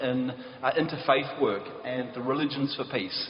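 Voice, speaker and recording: A man with a New Zealand accent speaks at a fairly high pitch. There is audible room echo and noticeable background noise. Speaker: peace activist, prize laureate. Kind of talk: conference talk.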